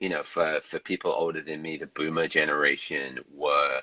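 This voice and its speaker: With a British accent, a man speaks at a moderate pace in a dry, close recording that has no echo. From England, London. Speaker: novelist. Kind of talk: casual interview chat. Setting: livestream video call.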